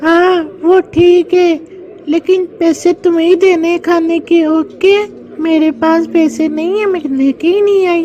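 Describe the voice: A cartoonish character voice at extremely high pitch and a fairly slow pace, with clear background noise.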